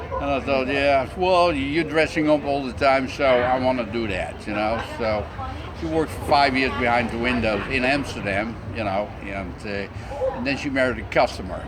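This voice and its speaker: Audible room echo and noticeable background noise surround a man speaking at a moderate pace. His medium-pitched voice varies in pitch in an ordinary way. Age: 60s. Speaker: cross-dresser. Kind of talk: interview. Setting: restaurant.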